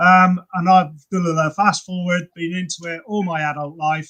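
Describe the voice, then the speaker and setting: Fairly even in intonation and high in pitch, a man speaks at a fairly quick pace with a bright, sharp tone. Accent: southern English. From England, Cheltenham. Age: 60s. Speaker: personal trainer and fitness creator. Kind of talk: casual chat.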